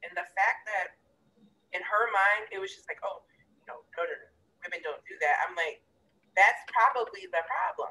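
A woman at a moderate pace, with long, frequent pauses and big swings in loudness. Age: 30s. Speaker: podcast co-host. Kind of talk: casual chat.

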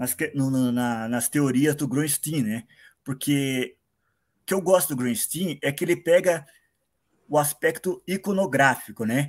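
A fairly slow pace with long, frequent pauses and ordinary pitch variation. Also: man, fairly high pitch for a man. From Paraná, Brazil. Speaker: listener, comics fan. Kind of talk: casual chat. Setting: video call.

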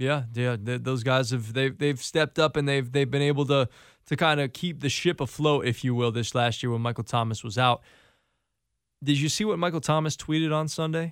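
A man with an American accent speaks at a fairly quick pace in an unremarkable speaking voice, fairly high in pitch with ordinary pitch variation, on a very clean recording with a silent background. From Connecticut. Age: 30s. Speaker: radio host. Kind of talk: casual radio interview.

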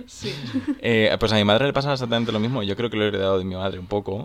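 Very fast speech from a man at fairly low pitch, ordinary pitch variation, and noticeable background noise. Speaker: podcast co-host. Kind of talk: casual chat.

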